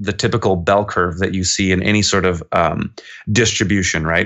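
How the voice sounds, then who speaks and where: A moderate pace in a western Canadian accent. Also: man. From Kelowna, British Columbia, Canada. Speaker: urban farmer. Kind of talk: casual interview.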